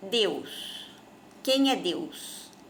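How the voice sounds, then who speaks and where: A woman's lively intonation amid audible room echo. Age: 60s. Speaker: spiritist speaker. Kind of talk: informal religious talk to camera.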